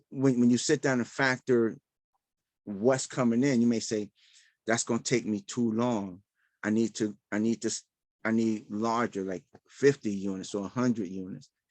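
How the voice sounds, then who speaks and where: A man with a New York accent at medium pitch, moderate pace and fairly even intonation, with long, frequent pauses. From Brooklyn, New York (Bed-Stuy). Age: 60s. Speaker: real estate investor. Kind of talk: live Q&A session. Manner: halting.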